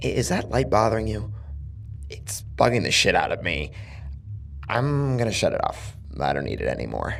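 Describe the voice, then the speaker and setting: A man's raspy put-on character voice at a moderate pace, broken by long, frequent pauses. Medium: read story. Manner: casual, taunting menace.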